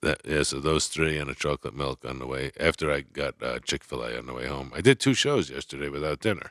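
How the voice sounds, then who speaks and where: Words come at a very fast pace with hardly any pauses and vocal fry, in a dry, close sound with no echo. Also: man, very deep, low pitch for a man, fairly even intonation. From New York. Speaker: comedian and actor. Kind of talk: casual chat.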